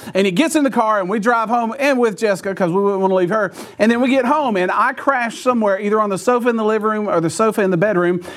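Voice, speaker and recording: With audible room echo, a man talks very fast in a high voice, with ordinary pitch variation and hardly any pauses. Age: 40s. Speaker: pastor. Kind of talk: sermon.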